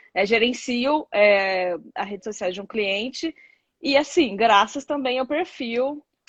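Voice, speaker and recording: A woman speaks fairly slowly, and the background stays quiet. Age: 30s. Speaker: content creator, social media manager. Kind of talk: casual interview chat. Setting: Instagram live. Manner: halting, many fillers.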